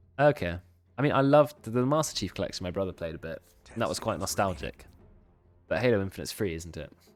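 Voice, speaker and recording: Over music in the background, a man with a British accent talks at a very fast pace and a fairly low pitch, with very wide pitch swings and long, frequent pauses. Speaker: esports caster and streamer. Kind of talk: live game commentary with casual chat.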